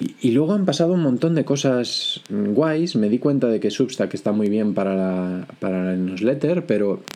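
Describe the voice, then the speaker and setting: A man talks fairly slowly, with pitch that varies in an ordinary way. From Spain, Galicia (Vigo). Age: 20s. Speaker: podcast host. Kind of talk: solo podcast monologue. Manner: frequent hesitations and repetitions.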